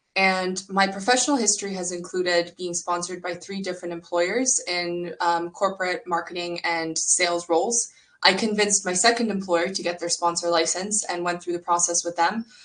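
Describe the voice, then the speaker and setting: Someone with a Canadian accent talks at a fairly quick pace with hardly any pauses and fairly even intonation over noticeable background noise. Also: woman, fairly low pitch for a woman. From Canada. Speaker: startup co-founder and career coach. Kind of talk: online workshop presentation.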